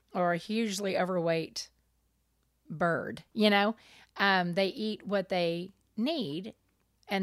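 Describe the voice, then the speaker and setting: The woman's voice sits at medium pitch with ordinary pitch variation, and she leaves long, frequent pauses. The recording is very clean, its background silent. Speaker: podcast co-host. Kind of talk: casual chat. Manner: relaxed.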